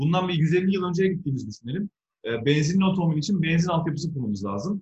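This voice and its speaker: A man's high-pitched voice with lively intonation. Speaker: electric car entrepreneur. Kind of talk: interview. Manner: animated. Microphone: phone through an analog speaker.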